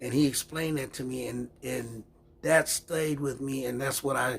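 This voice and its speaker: There is a somewhat breathy quality as a man speaks at a medium pitch and moderate pace, his pitch varying in an ordinary way. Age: 70s. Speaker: community activist video blogger. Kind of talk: casual monologue. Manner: conversational, repetitive.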